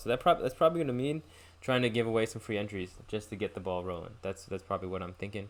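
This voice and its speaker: A very fast man's voice with a fairly low pitch. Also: very clean recording, silent background. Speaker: podcast host and chess player. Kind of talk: solo podcast monologue. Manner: casual, filler-heavy.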